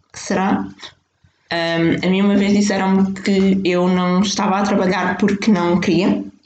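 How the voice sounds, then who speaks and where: A woman with a European Portuguese accent speaks at a fairly slow pace, with audible room echo. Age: 20s. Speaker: podcast host. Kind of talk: solo monologue. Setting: home kitchen by fireplace.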